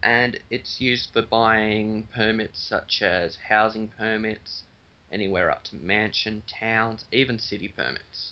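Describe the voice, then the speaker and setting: Speaking fairly slowly with a monotone, flat intonation, a man has a fairly low pitch and an Australian accent. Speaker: game server admin. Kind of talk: casual game tutorial talk.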